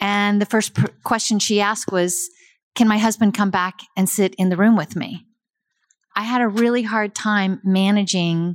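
A woman with an unremarkable speaking voice, medium pitch and fairly even intonation at a moderate pace, on a very clean recording with a silent background. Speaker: emergency nurse. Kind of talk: audience Q&A. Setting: stage with audience.

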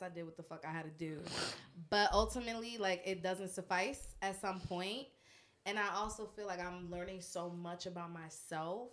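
Using an ordinary speaking voice, a woman speaks at a moderate pace with medium pitch and fairly even intonation. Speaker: podcast guest. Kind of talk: casual chat. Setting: studio.

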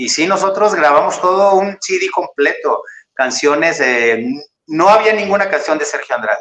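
Lively intonation marks this man's speech. He talks at a moderate pace and a high pitch. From Mexico, Tamaulipas (Ciudad Victoria). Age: 50s. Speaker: actor and singer. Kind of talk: interview.

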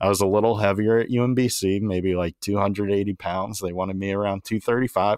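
A man with an American accent talks at a fairly low pitch and a moderate pace, with hardly any pauses. His intonation is monotone and flat, and the sound is dry and close with no echo over a quiet background. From Maryland, between Baltimore and DC. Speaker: former college baseball pitcher, podcast host. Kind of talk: casual chat.

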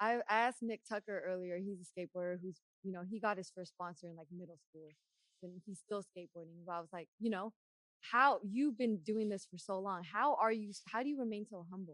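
A woman's unremarkable speaking voice, medium in pitch with ordinary variation, fairly quick, with big swings in loudness and a dry, close sound with no echo. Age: 30s. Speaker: podcast host. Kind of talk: casual podcast interview. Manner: upbeat, friendly.

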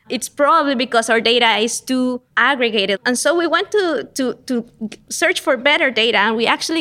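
This woman has a Spanish accent and a bright, sharp tone at a high pitch. She talks at a moderate pace with lively intonation. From Costa Rica, San Jose. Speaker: economics professor. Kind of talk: interview.

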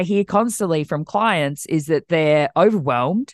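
The delivery comes at a fairly slow pace. The intonation is lively. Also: woman, dry, close sound with no echo. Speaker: ADHD coach. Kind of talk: casual interview chat.

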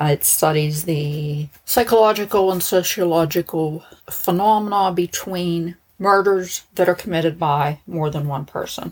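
In an American accent, a woman talks fairly slowly, her fairly low pitch showing ordinary variation. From Pittsburgh, US. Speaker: true crime podcaster, former probation officer.

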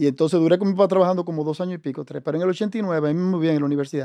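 This man talks at a very fast pace with ordinary pitch variation. His tone is dark and mellow. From Dominican Republic, raised in Santo Domingo. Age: 50s. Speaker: business executive. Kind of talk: interview.

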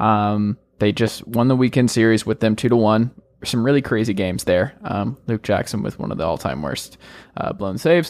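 With a General American accent, a man talks at a moderate pace using lively intonation. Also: fairly low pitch for a man. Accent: general American, often taken for Midwestern. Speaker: sports podcast host. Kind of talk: casual sports talk.

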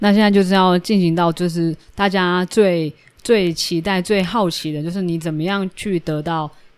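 A woman with an ordinary speaking voice talks at a moderate pace and fairly low pitch, her intonation fairly even. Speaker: podcast host. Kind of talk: casual interview.

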